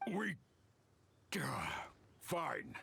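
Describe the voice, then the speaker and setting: A man puts on a character voice. It is raspy and high in pitch. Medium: video game. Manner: rough, slangy.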